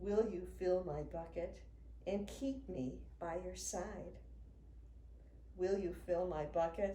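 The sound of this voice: Slowly and with ordinary pitch variation, a woman speaks in a dark, mellow tone.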